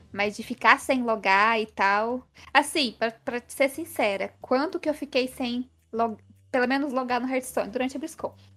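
Her voice is high, bright and sharp. The woman's pitch moves with ordinary variation. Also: moderate pace. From Minas Gerais, Brazil (interior, Passos). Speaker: gaming content creator and writer. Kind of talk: casual interview chat.

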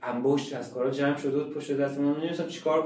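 This man speaks very fast at a fairly high pitch. Audible room echo and noticeable background noise surround his voice. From Iran, Shiraz. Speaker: painter. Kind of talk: interview.

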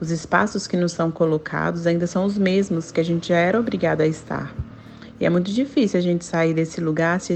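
At a fairly quick pace, a woman with a fairly low pitch uses a normal speaking voice and ordinary pitch variation. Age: 30s. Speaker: teacher. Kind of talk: recorded testimony.

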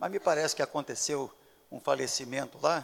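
A man talks at a moderate pace. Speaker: pastor. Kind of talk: sermon. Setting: church.

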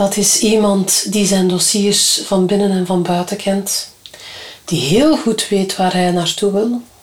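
A very slow pace against noticeable background noise. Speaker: trade union official. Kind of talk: interview. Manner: direct.

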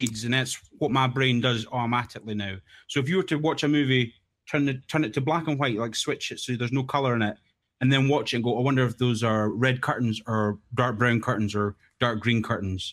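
A man at a medium pitch with a strong Scottish accent, fairly quick in pace, with ordinary pitch variation, on a very clean recording with a silent background. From Scotland. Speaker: game texture modder. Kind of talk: casual chat.

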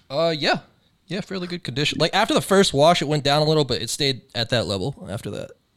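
A man talks at a very fast pace with lively intonation and vocal fry. The recording is very clean, with a silent background. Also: fairly high pitch for a man. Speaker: podcast host. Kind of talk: casual banter. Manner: laid-back, joking.

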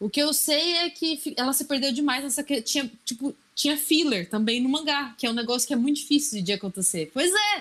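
A woman talks at a fairly quick pace with hardly any pauses, her high-pitched voice carrying lively intonation. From Brazil, Assis (São Paulo state). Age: 30s. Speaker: podcast guest. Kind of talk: casual chat.

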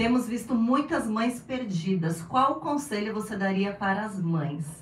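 A woman's fairly high, lively voice with audible room echo. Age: 40s. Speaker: podcast host. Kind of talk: casual interview.

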